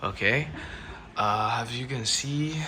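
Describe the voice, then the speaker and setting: A man with a non-native accent speaks at a very slow pace with ordinary pitch variation against noticeable background noise. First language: not English. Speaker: tech reviewer. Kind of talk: product review. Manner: halting, with many repetitions.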